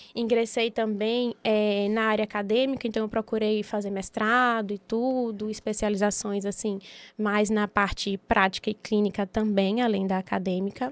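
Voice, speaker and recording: A woman talks at a moderate pace in a fairly high pitch with monotone, flat intonation. The recording is very clean, with a silent background. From Bahia, Brazil (Itabuna, southern Bahia). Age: 30s. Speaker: physiotherapist and entrepreneur. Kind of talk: podcast interview.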